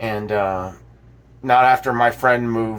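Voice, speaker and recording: Here is a man with an American accent. His pitch sits fairly low. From South Florida. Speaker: vlogger. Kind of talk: casual monologue. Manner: slow; halting, many fillers and repeats.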